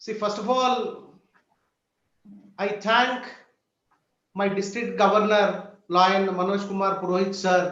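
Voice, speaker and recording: Amid audible room echo, a man with a high pitch speaks very slowly in a monotone, flat way, leaving long, frequent pauses. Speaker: hospital founder and social worker. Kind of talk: speech.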